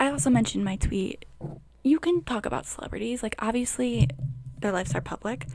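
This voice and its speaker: With very wide pitch swings, a woman talks at a fairly quick pace in a medium pitch. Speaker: podcaster. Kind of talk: casual rant. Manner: animated.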